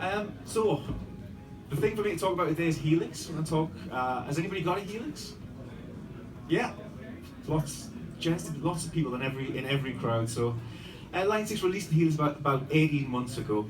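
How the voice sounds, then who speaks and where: Audible room echo surrounds a man who speaks at a fairly quick pace with lively intonation. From northern England. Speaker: product demonstrator. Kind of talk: live product demo. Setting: trade show booth with audience.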